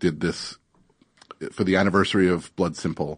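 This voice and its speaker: The man's very deep, low voice keeps a moderate pace and shows ordinary variation in pitch. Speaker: writer and podcaster. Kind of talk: casual chat. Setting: studio.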